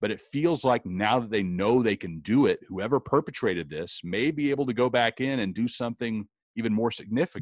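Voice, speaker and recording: Delivered in a plain, everyday voice, the speech runs at a fairly quick pace with lively intonation and hardly any pauses. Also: man, medium pitch for a man. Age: 40s. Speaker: podcast host. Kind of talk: casual chat.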